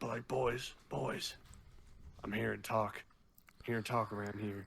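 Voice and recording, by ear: Putting on a character voice, a man speaks at medium pitch and a moderate pace with fairly even intonation.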